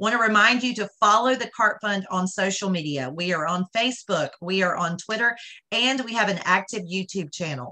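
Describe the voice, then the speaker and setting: A woman at a moderate pace with a quiet background. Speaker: charity event host. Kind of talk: announcements and introduction. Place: home room. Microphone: video call.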